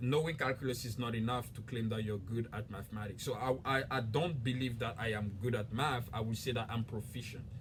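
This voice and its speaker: A man talks at a fairly quick pace with a West African accent, leaving hardly any pauses. His voice is somewhat breathy and his intonation fairly even. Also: medium pitch for a man. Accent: French-speaking West African. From Ivory Coast. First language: French. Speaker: YouTuber. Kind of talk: casual explainer video.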